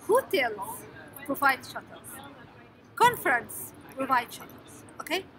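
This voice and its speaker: A woman speaks with a high pitch and very wide pitch swings. Long, frequent pauses break her speech over light background noise. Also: fairly slow pace. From Egypt. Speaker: scientist vlogger. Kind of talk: casual vlog tutorial. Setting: noisy public place. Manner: halting, many fillers. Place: hall. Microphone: phone near.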